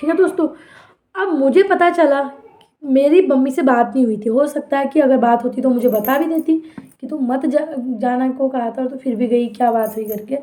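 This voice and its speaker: A woman talks loudly in a high voice with an animated tone. Her pace is moderate and her pitch varies an ordinary amount. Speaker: vlogger. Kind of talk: personal storytelling to viewers. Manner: sharp, loud-sounding delivery.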